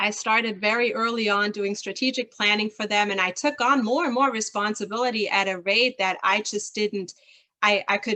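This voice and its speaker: A woman's fairly high voice with a German accent, bright and sharp in tone, at a moderate pace with fairly even intonation. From rural southern Germany near Switzerland. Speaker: leadership consultant. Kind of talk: interview.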